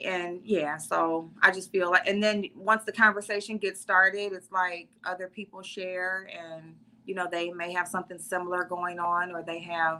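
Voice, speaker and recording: Speaking at a moderate pace with hardly any pauses, a woman with an American accent has a medium pitch, a bright, sharp tone, monotone, flat intonation and big swings in loudness. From US Midwest. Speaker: beauty content creator. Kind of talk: interview.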